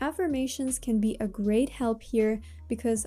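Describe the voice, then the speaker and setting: Someone with a Russian accent speaks with ordinary pitch variation while music plays in the background. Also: woman. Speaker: self-help vlogger. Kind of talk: motivational talk to camera.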